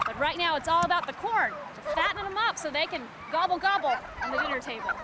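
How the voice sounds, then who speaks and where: A woman talks at a very fast pace in an extremely high pitch with very wide pitch swings. Her voice is raised and projected over noticeable background noise. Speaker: TV news reporter. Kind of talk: TV news report narration.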